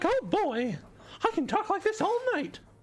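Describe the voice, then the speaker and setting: A put-on character voice pitched extremely high. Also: moderate pace. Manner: cheerful.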